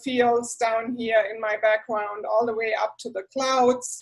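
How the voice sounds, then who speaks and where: A speaker with a German accent is heard on a very clean recording with a silent background. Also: woman. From southwest Germany, rural area near Heidelberg and Stuttgart. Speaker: university professor. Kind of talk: orientation talk.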